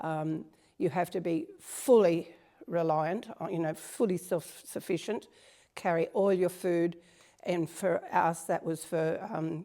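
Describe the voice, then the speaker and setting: In an Australian accent, a woman with a fairly low pitch and a dark, mellow tone speaks at a very slow pace with fairly even intonation. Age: 70s. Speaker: strength training client. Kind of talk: interview.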